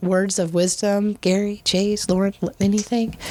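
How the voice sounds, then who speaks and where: This woman speaks at a moderate pace in a medium pitch. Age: 40s. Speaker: podcast host. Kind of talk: casual chat. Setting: studio, sharing a mic. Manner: animated.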